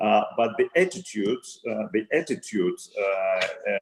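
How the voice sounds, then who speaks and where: A man speaks with a Russian accent. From Russia, Saint Petersburg. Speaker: retail company CEO. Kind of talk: interview. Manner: halting, many fillers and repetitions.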